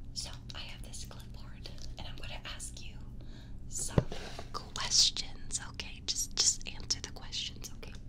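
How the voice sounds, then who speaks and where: Loud background noise sits behind a woman's voice. She talks at a fairly slow pace with long, frequent pauses. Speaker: ASMR creator. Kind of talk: casual vlog chat. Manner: soft-spoken close-mic ASMR voice. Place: home room. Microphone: studio mic.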